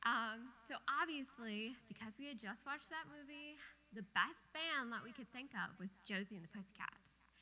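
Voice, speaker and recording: Bright, sharp tone in a Midwestern accent, with big swings in loudness. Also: woman, fairly high pitch for a woman, lively intonation, moderate pace. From Michigan, US Midwest. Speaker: amateur storyteller. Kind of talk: personal storytelling. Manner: casual, many fillers.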